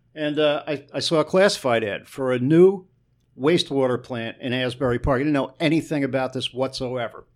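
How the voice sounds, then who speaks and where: A plain, everyday voice, a man's, medium in pitch with an American accent, fairly quick pace and ordinary pitch variation. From northern New Jersey (Newark, East Orange). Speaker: sewage treatment plant manager and drummer. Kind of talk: casual interview.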